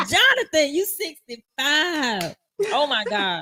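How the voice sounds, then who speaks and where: Speaking at a very slow pace, a woman with a bright, sharp tone swings her pitch very widely. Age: 40s. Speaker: talk show host. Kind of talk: interview. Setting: live stream.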